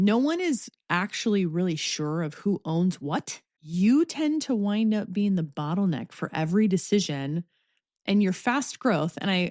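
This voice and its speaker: A woman's medium-pitched voice at a fairly slow pace, with lively intonation and a dry, close sound free of echo. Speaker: podcast host. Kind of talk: solo podcast monologue. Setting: home office. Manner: polished, scripted-sounding delivery.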